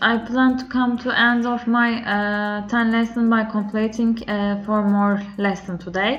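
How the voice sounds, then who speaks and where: Speaking fairly slowly with hardly any pauses, a woman with a Turkish accent uses a fairly high pitch and fairly even intonation over noticeable background noise. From Turkey. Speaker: language learner. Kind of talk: video diary. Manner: halting, many filler sounds.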